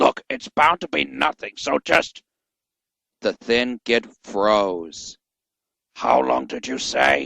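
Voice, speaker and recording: In a put-on character voice, a man speaks at a very slow pace with long, frequent pauses, a fairly low pitch and very wide pitch swings, captured with a dry, close sound and no echo. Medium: read story. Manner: exasperated, blustering.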